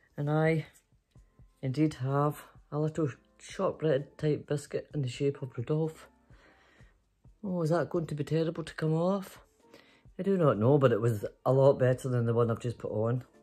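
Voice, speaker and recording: A woman speaks in a very deep, low voice with long, frequent pauses. Faint music plays in the background. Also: ordinary pitch variation, moderate pace. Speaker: storytelling vlogger. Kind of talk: casual vlog chat. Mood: playful, giggly. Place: home room. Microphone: phone near.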